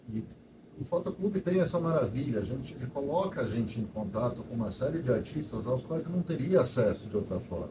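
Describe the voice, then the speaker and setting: A man's somewhat breathy, dark, mellow voice with very wide pitch swings and audible room echo. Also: medium pitch for a man. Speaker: photo club organizer. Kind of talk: casual talk to live audience. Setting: event hall with audience. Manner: halting.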